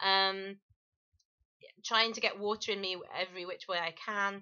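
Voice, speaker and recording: A woman with an English accent has a bubbly tone. She speaks at a moderate pace against a quiet background. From England. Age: 40s. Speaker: vlogger. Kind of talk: personal testimony vlog. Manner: hesitant, many fillers. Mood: earnest, warning, confessional. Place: home room. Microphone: webcam.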